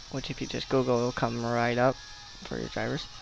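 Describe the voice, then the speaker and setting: The speaker sounds tired, with noticeable noise in the background. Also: man. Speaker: software support tutorial narrator. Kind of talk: screen-recorded software tutorial voiceover. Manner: tired, hesitant, many fillers.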